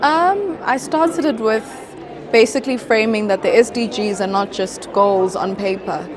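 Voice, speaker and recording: The speaker has a South African accent. Noticeable background noise runs under the voice. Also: woman. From South Africa, Limpopo. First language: Venda. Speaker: model, beauty pageant titleholder, mental health advocate. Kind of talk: interview answer.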